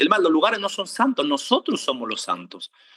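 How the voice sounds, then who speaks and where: A man talks very fast in an animated tone with an Argentine accent. His pitch swings very widely, and the sound is dry and close with no echo. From Argentina. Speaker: preacher. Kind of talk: sermon.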